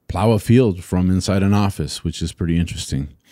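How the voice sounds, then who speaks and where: Very deep and low in pitch, a man's voice with a dark, mellow tone comes through on a very clean recording with a silent background. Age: 40s. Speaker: podcast host. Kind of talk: solo educational monologue. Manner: casual with frequent fillers.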